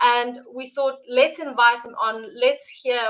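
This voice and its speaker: A fairly slow voice with a South African accent and fairly even intonation. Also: woman. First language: Afrikaans. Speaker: live stream host. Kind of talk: interview introduction. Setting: live stream.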